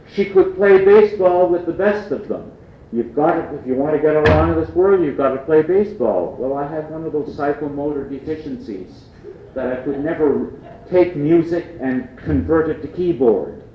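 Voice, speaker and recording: At a moderate pace, a man with a fairly high pitch talks with lively intonation, with noticeable background noise and audible room echo. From Canada, Prince Edward Island (Acadian). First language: Acadian French. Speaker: lecturer. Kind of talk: lecture.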